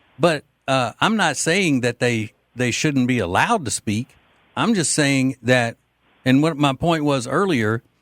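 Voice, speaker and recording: A man speaks with a Southern US accent at a medium pitch. The sound is dry and close, with no echo. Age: 50s. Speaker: radio talk show host. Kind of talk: talk radio call-in.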